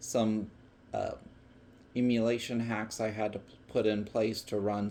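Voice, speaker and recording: A man's fairly low voice, fairly even in intonation, at a fairly slow pace. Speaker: hobbyist tech demonstrator. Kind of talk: tutorial. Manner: halting; casual.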